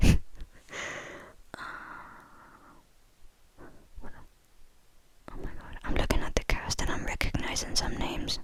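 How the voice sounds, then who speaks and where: A woman whispering in a relaxed tone at a very slow pace, with long, frequent pauses and noticeable background noise. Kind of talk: whispered ramble about movies, casual talk to camera. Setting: quiet indoor recording for ASMR. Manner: whispered, soft, relaxed.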